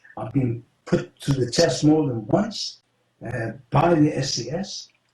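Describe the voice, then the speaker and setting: A somewhat breathy man with an English accent, a fairly high pitch, a dark, mellow tone, lively intonation and a very slow pace. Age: 70s. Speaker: former special operative. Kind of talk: interview.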